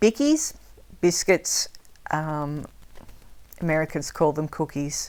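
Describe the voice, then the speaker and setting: A woman speaks with an Australian accent. Her pitch is very deep and low, and her pace is fairly slow. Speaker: language teacher. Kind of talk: tutorial. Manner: casual, hesitant with fillers.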